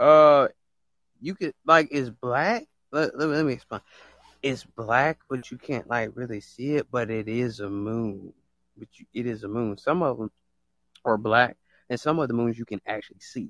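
A man's animated delivery at medium pitch, with ordinary pitch variation, big jumps in volume, a moderate pace, and a dry, close sound free of echo. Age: 20s. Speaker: live audio room host. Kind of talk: casual chat.

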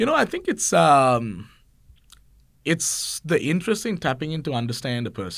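A man speaks at a moderate pace with a fairly high pitch and vocal fry. His pitch swings very widely. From Sri Lanka. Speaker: construction professional and lecturer. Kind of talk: casual interview.

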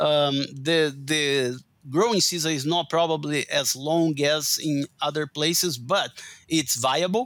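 A man with a Portuguese accent, fairly high pitch, ordinary pitch variation, very even loudness and a fairly slow pace. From Brazil. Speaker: agronomy professor and forage researcher. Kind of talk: interview.

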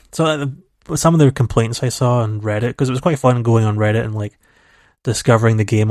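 A man talks at a fairly quick pace with fairly even intonation. The sound is dry and close with no echo, over a quiet background. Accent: Scottish. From Scotland. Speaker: video game podcast co-host. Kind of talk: casual chat.

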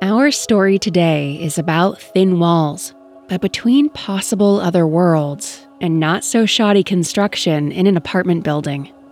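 With music in the background, a woman of fairly low pitch speaks at a fairly slow pace with lively intonation. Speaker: narrator. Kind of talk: scripted true-crime horror narration. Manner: hushed, ominous, suspenseful; slow, deliberate, dramatic pacing.

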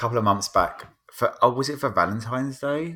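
A man's bright, sharp voice at medium pitch, with very wide pitch swings and a fairly quick pace, on a very clean recording with a silent background. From England. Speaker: podcaster. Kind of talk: casual panel chat.

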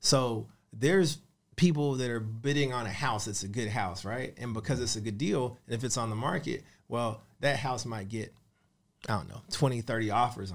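In a very clean recording with a silent background, a man with a plain, everyday voice speaks at a medium pitch and a moderate pace, with ordinary pitch variation and big swings in loudness. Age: 30s. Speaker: real estate investor and mentor. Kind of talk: interview. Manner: casual.

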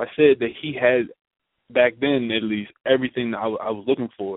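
Here is a man with a normal speaking voice and medium pitch. He speaks at a moderate pace with fairly even intonation. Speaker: radio co-host. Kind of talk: casual chat.

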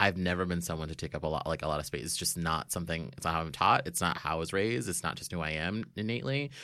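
A man with an American accent and a very deep, low pitch, talking at a very fast pace with hardly any pauses, vocal fry and lively intonation, on a very clean recording with a silent background. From South Florida. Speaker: nonprofit fundraiser. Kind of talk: casual chat.

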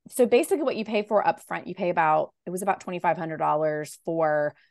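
A woman with a Southern US accent and lively intonation, in a dry, close sound with no echo. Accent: Southern American. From US South, Raleigh, North Carolina. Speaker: novelist. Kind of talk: interview.

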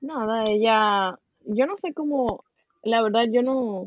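A woman with a Dominican accent speaks at a fairly high pitch with ordinary pitch variation. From Dominican Republic. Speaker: podcast guest sharing experience of depression. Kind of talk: casual chat.

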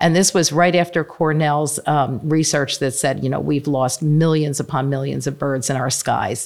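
A woman with an American accent and a very deep, low pitch speaks at a moderate pace with vocal fry and fairly even intonation. There are hardly any pauses, and the recording is very clean with a silent background. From Pennsylvania, Bucks County. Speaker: nonprofit land trust CEO. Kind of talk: interview.

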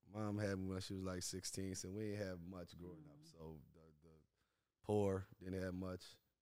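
In a New Orleans accent, a man with a very deep, low pitch and a dark, mellow tone speaks at a moderate pace with ordinary pitch variation and big swings in loudness, with audible room echo. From New Orleans, Louisiana. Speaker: music manager. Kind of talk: casual interview.

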